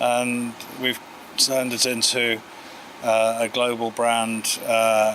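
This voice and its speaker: Over noticeable background noise, a man of medium pitch speaks at a very slow pace in monotone, flat intonation, with long, frequent pauses. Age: 60s. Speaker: audio company founder. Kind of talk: interview. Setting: award event. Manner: hesitant, many fillers.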